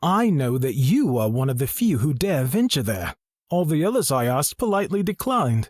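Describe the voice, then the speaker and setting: A man uses a put-on character voice pitched fairly high, with very wide pitch swings. He moves at a fairly quick pace in a very clean recording with a silent background. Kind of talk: fantasy audiobook dialogue. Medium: read story. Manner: measured, formal, reserved.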